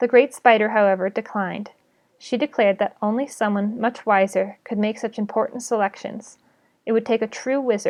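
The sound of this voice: The voice is unforced. It is a reading voice.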